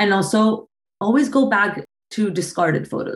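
A woman at a moderate pace with ordinary pitch variation and a Spanish accent. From Colombia, Bogota. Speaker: photographer. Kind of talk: interview.

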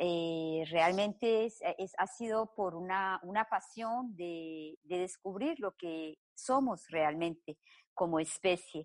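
A woman with a medium pitch and ordinary pitch variation speaks very slowly, with a dry, close sound, no echo and a quiet background. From Colombia. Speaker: psychotherapist. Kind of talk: interview. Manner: halting.

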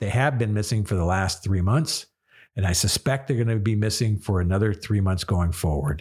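Somewhat breathy speech comes at a fairly quick pace with ordinary pitch variation and very even loudness on a very clean recording with a silent background. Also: man, fairly low pitch for a man. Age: 50s. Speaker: radio show host. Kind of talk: solo monologue. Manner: emotional.

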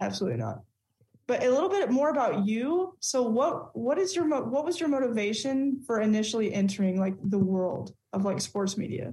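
A woman with a slight Southern US accent speaks in a fairly high pitch with very wide pitch swings and very even loudness. Her tone is dark and mellow, and somewhat breathy. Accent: Southern drawl, slight. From Texas. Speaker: podcast co-host. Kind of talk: casual sports chat.

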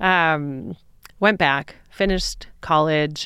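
An American woman speaks with a very deep, low pitch and ordinary pitch variation. The recording is very clean, with a silent background. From Michigan, suburban Detroit. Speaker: business coach and entrepreneur. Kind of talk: casual interview chat.

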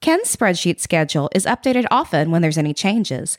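The pitch swings very widely. The recording is very clean with a silent background, dry and close with no echo. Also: woman. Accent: Southern US. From Florida Panhandle, Panama City. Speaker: podcast host and musician. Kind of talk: scripted podcast narration. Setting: home music room or library studio.

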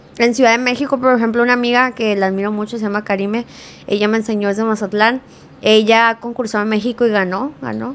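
A woman talks very fast in a fairly high voice. Her intonation stays fairly even. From California, US (Mexican-American). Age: 20s. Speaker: social media creator. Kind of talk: casual chat. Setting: studio.

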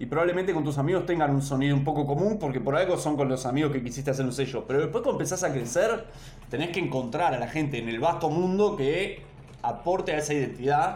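Noticeable background noise and audible room echo fill this recording of a man. He speaks very fast in a fairly high pitch with ordinary pitch variation. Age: 30s. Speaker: DJ. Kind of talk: casual interview. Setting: remote call. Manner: halting.

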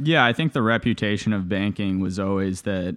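A man's fairly low-pitched, a normal speaking voice, with fairly even intonation and a dry, close sound with no echo against a quiet background. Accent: Canadian. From Canada (Toronto), born in Bulgaria. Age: 20s. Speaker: former private equity investor. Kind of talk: interview.

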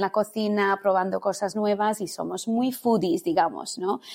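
The recording is very clean, with a silent background, as a woman speaks at a fairly slow pace. Her pitch is medium and her intonation fairly even. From India, born in London. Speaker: culinary teacher and Ayurveda consultant. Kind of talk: casual interview. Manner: halting, many repetitions.

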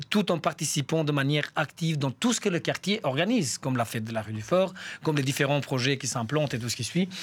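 A man in an ordinary speaking voice. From Albania. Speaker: community worker and association coordinator. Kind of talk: radio interview. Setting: studio.

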